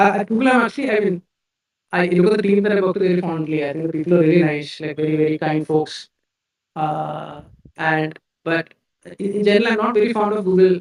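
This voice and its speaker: A man with a Keralan accent and a high pitch talks at a very fast pace with long, frequent pauses and ordinary pitch variation. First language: Malayalam. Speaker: tech company CEO. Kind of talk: live-stream Q&A interview. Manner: halting, repeats words.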